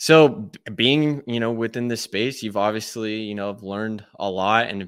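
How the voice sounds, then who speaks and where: A man's normal speaking voice, fairly low in pitch, at a fairly slow pace. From Texas. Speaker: podcast host. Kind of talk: casual interview; podcast intro. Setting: video call.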